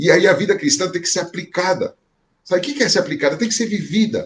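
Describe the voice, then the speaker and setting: This man talks with ordinary pitch variation. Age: 60s. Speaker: pastor. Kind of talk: sermon. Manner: conversational, repetitive filler.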